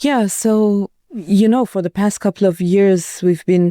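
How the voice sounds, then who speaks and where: Woman's voice, dark and mellow, with an Iranian accent, fairly even intonation and a fairly slow pace, in a very clean, dry, close recording with no echo and a silent background. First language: Farsi. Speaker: journalist. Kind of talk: interview. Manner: halting.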